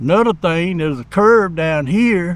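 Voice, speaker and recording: This man talks with a rural Georgia accent, his voice high-pitched for a man and his pitch varying in an ordinary way. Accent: Southern US (rural Georgia). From coastal Georgia, US. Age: 60s. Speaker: local resident. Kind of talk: community interview.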